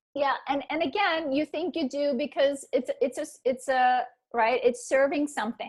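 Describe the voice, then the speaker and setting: Lively intonation and a moderate pace mark this voice with a non-native accent. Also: woman, high pitch for a woman. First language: not English. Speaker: trauma recovery author and coach. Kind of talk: interview conversation. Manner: halting, many repetitions.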